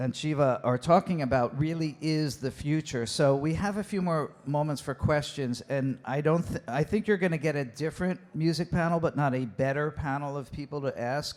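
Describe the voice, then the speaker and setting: A man with an unremarkable speaking voice talks at a moderate pace and a fairly high pitch, with ordinary pitch variation and hardly any pauses. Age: 60s. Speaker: panel moderator. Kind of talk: panel discussion.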